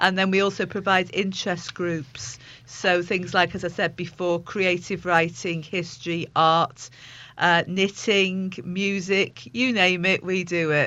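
A woman speaks at a fairly slow pace with little pitch movement. Her tone is fairly bright. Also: fairly low pitch for a woman.

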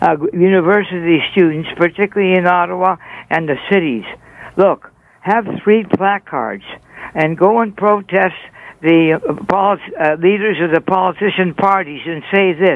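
A man speaks at a moderate pace in a high voice, with ordinary pitch variation.

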